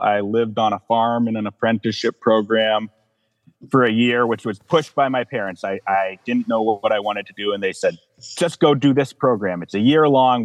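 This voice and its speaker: The voice is a normal speaking voice with ordinary pitch variation. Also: man. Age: 30s. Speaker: counseling client. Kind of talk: emotional personal testimony.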